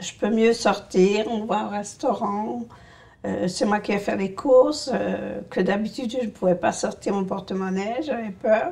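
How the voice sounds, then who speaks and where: A woman's medium-pitched voice, fairly slow and with lively intonation, amid noticeable background noise. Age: 60s. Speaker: patient with essential tremor. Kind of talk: testimony. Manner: halting.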